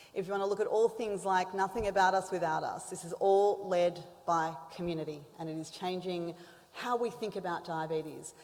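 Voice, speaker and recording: Over noticeable background noise, a woman with an Australian accent talks fairly quickly at a medium pitch, keeping her intonation fairly even. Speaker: symposium moderator. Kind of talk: conference introduction.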